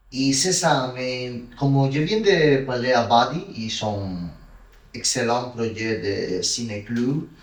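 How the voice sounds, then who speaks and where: A man with a Spanish accent talks at a very slow pace and medium pitch, with ordinary pitch variation. Room echo is audible. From Cuba, Santiago de Cuba. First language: Spanish (speaking French). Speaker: film director. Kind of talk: interview. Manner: halting.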